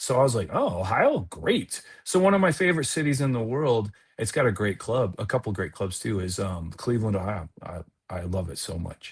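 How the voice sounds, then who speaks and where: A somewhat breathy man at medium pitch, fairly quick in pace, with very wide pitch swings over a quiet background. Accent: Midwestern. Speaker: comedian, improviser and actor. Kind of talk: casual podcast interview chat. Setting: podcast.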